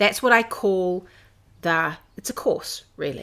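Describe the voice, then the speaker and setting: A woman with a New Zealand accent, at a moderate pace with ordinary pitch variation. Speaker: knitting designer and podcast host. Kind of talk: casual chat. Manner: hesitant with fillers.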